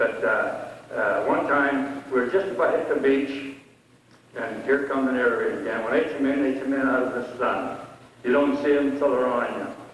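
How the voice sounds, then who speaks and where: Fairly high in pitch, a man with an American accent talks at a moderate pace with fairly even intonation. Audible room echo and noticeable background noise fill the recording. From Pennsylvania. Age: 80s+. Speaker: war veteran. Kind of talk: testimony. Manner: halting.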